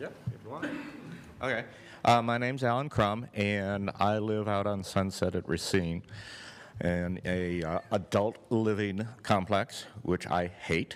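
A man's unremarkable speaking voice, fairly low in pitch, with ordinary pitch variation and a fairly slow pace, on a very clean recording with a silent background. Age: 60s. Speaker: public commenter at city meeting. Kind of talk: public comment. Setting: public meeting.

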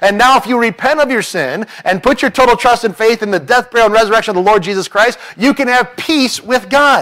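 A man speaks at a fairly quick pace, and the background is quiet. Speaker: preacher. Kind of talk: sermon. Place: church. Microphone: podium.

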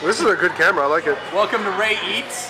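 A man speaks at a moderate pace in a raised, projected voice, with clear music in the background. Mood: joking, laughing. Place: bar. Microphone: phone near.

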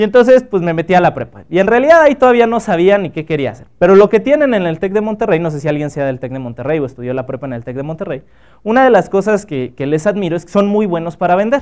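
Over a quiet background, the speech races at a very fast pace with big swings in loudness and very wide swings in pitch. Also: man, high pitch for a man, hardly any pauses. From Mexico, Acapulco (Guerrero); Guerrero, Mexico. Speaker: biotechnologist and entrepreneur giving a talk; guest. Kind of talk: workshop talk to students; lecture. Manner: casual, conversational with filler words. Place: hall.

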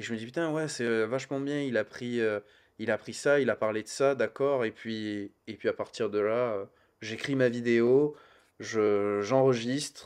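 Fairly even intonation at a very slow pace over a quiet background. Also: man, medium pitch for a man. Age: 30s. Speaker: YouTuber, comics channel. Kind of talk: casual chat. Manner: hesitant, many fillers.

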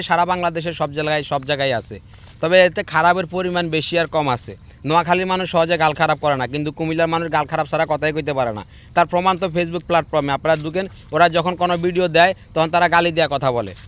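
This man's voice sits at a high pitch. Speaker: social media video maker. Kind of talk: opinion monologue to camera.

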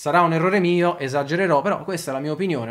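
A man talks with ordinary pitch variation against a quiet background. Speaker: football channel host. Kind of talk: commentary. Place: home room.

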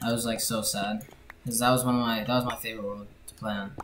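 Talking at a very fast pace, the speaker is heard over noticeable background noise. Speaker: gamer commentating. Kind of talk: casual gameplay commentary.

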